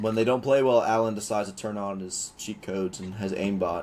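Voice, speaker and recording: A man with a fairly low pitch talks at a fairly quick pace. Noticeable background noise runs behind him. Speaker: sports podcast co-host. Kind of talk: casual chat. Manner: fast; animated.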